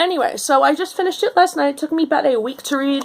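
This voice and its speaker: A woman with a New York accent talks at a fairly quick pace in a high pitch, her intonation lively. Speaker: book blogger. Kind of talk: book review rant. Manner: animated.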